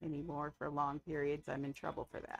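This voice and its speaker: The speaker moves at a fairly quick pace with vocal fry. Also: woman. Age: 50s. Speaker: gaming livestreamer. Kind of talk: casual livestream chat. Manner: rambling, relaxed.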